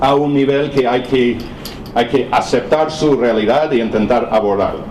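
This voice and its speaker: Over noticeable background noise and audible room echo, a speaker with a non-native accent talks fairly slowly. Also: man. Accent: foreign accent in Spanish. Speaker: professor. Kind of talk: lecture. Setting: seminar with audience. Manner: halting.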